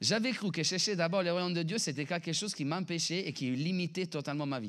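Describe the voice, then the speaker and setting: A man talks at a high pitch with ordinary pitch variation. His pace is fairly quick. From Italy. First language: Italian (speaking French). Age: 30s. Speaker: pastor. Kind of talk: sermon. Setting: church. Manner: animated.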